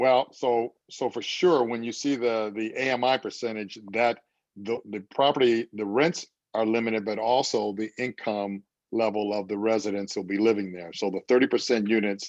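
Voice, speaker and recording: Recorded with a dry, close sound with no echo and a quiet background, a man with an unremarkable speaking voice talks at a moderate pace in a medium pitch with fairly even intonation. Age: 60s. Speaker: housing developer. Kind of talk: community meeting Q&A.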